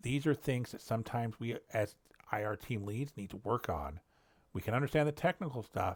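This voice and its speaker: A somewhat breathy man at medium pitch, with a fairly quick pace, lively intonation and a very clean recording over a silent background. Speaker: cybersecurity incident response lead. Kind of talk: solo educational walkthrough. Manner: fast; halting, searches for words. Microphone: new headset.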